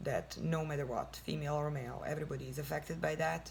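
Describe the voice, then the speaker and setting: A woman speaks with a non-native accent. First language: not English. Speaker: lifestyle vlogger. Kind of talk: casual advice talk. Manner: halting.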